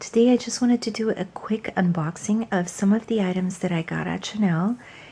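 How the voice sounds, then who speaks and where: A soft-spoken woman talks at a moderate pace. Her intonation stays fairly even. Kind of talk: ASMR unboxing.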